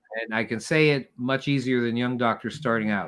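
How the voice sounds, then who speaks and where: At a fairly quick pace, a man speaks at a medium pitch with a bright, sharp tone and ordinary pitch variation. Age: 70s. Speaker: retired doctor and survival medicine author. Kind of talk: podcast interview. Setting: live stream.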